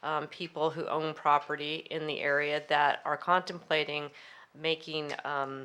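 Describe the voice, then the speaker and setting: Speaking fairly slowly, a woman uses a very deep, low pitch with a bright, sharp tone and monotone, flat intonation. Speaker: city council candidate. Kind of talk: candidate forum answer.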